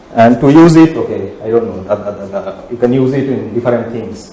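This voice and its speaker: A man talks at a fairly quick pace. The recording has audible room echo and noticeable background noise. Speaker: physicist giving a research talk. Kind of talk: lecture. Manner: fast; hesitant, many fillers.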